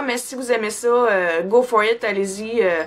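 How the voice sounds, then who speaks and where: With a Quebec accent, a woman talks in a high pitch with ordinary pitch variation. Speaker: beauty vlogger. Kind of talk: product review vlog. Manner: casual, many fillers.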